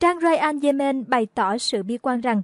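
Recorded with a dry, close sound and no echo, a woman speaks at a high pitch with lively intonation. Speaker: news reader. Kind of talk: news reading. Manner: formal.

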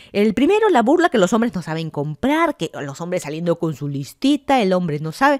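In a Peruvian accent, the speaker talks at a fairly quick pace with hardly any pauses and very wide pitch swings, in a dry, close sound with no echo. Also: woman, medium pitch for a woman. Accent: Peruvian Spanish (Lima). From Lima, Peru. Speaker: podcaster. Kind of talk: casual solo monologue.

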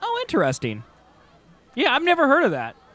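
A man's extremely high voice with very wide pitch swings, a bright, sharp tone and a fairly quick pace, faint crowd noise behind

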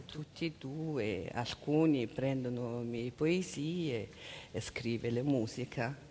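A woman with a Mongolian accent speaks at a very slow pace, her very deep, low pitch varying in an ordinary way. Her tone is dark and mellow, with light background noise behind her. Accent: Mongolian-accented Italian. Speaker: interpreter. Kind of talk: consecutive interpreting. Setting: stage with audience. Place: stage. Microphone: headset.

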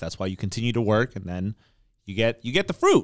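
Over a quiet background, a man with an American accent talks at a fairly quick pace. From Oakland, California; California. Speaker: podcast co-host, realtor; podcast co-host. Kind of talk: casual chat. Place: studio. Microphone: studio mic.

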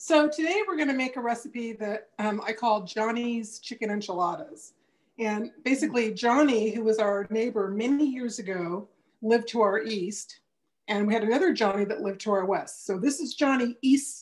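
Against a quiet backdrop, a woman talks at a moderate pace, her pitch varying in an ordinary way. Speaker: home cook host. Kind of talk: casual cooking show chat. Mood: cheerful. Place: kitchen. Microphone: video call.

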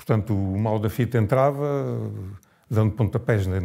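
A man speaks in a dark, mellow tone with ordinary pitch variation. He goes at a fairly slow pace against a quiet background. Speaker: former political prisoner. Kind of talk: testimony. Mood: grave, reflective recollection. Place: home room.

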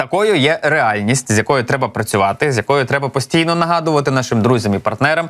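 Here a man talks at medium pitch with ordinary pitch variation in an ordinary speaking voice. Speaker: news presenter. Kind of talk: news commentary. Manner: conversational.

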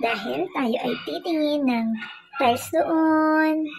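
Someone speaks at a very slow pace against noticeable background noise. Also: woman. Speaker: vlogger. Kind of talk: casual vlog chat. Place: street. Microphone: phone near.

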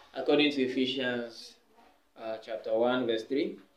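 A man speaks at a moderate pace. Room echo is audible. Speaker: preacher giving testimony. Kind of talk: sermon-like exhortation. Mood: earnest, calm. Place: home room. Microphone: camera far.

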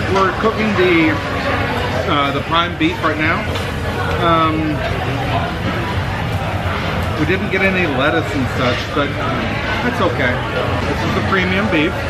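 A man talks fairly slowly with long, frequent pauses while music plays in the background. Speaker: flight attendant vlogger. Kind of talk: casual vlog chat. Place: cafe. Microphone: phone near.

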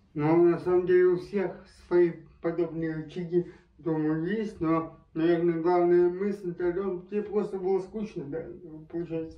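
With audible room echo, a man speaks high for his sex in a monotone, flat intonation. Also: fairly slow pace. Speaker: travel video host. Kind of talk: casual interview talk. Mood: relaxed, friendly. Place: home room. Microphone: camera far.

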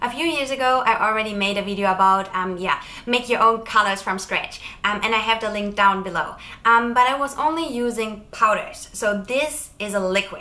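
Her pace moderate and her pitch varying in an ordinary way, a woman is talking. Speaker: chocolate maker vlogger. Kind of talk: casual vlog chat. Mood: cheerful, friendly. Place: home room. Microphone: lapel.

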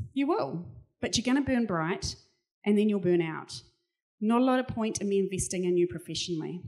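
In a quiet background, a woman's dark, mellow voice sits at a medium pitch with lively intonation. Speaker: keynote speaker, cognitive scientist; keynote speaker. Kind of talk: keynote talk. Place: hall. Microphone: handheld.

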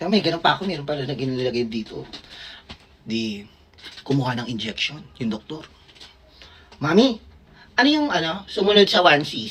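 Long, frequent pauses, an animated tone and very wide pitch swings at a moderate pace over noticeable background noise. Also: woman, very deep, low pitch for a woman. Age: 30s. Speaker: vlogger and doctor. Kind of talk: casual storytelling vlog.

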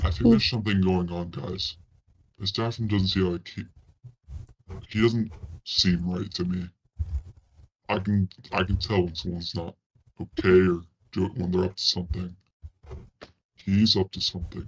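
With a very deep, low pitch, a man speaks at a moderate pace. He leaves long, frequent pauses. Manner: protective, cautious, coaxing.

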